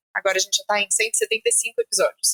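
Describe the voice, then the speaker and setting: The recording is dry and close, without any echo. A woman's voice is heard. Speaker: journalist and podcast host. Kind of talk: interview conversation. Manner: fast.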